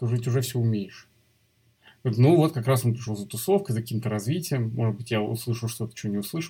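A man speaks very fast at a medium pitch, somewhat breathy, with ordinary pitch variation. The recording is very clean with a silent background. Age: 40s. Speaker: motion designer and design teacher. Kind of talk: interview.

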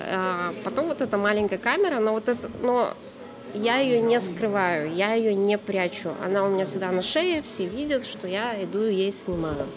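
The speech moves at a fairly slow pace with ordinary pitch variation, against noticeable background noise. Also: woman. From Russia, Tyumen. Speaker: street photographer. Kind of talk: casual chat. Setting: cafe.

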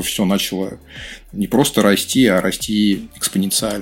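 This man has a plain, everyday voice. He speaks at a moderate pace with fairly low pitch. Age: 40s. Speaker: marketing director. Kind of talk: casual chat.

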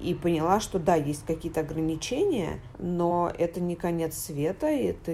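A woman has an unremarkable speaking voice with a fairly low pitch. She speaks at a fairly slow pace with fairly even intonation. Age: 30s. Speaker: journalist. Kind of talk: casual chat. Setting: home recording.

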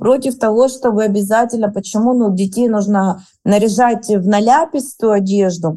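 With a dark, mellow tone, a woman talks at a moderate pace and fairly high pitch with fairly even intonation. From Rostov region, southern Russia. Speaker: clothing brand co-founder. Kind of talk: interview.

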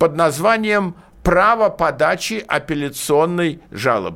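A man speaks at a very slow pace with a high pitch and ordinary pitch variation. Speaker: lawyer. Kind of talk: radio legal consultation. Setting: studio. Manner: animated.

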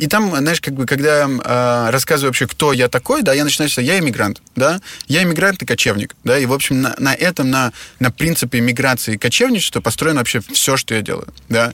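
Talking at a very fast pace, a man uses a fairly high pitch with ordinary pitch variation. His tone is bright and sharp. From Russia. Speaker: hotel entrepreneur. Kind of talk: interview.

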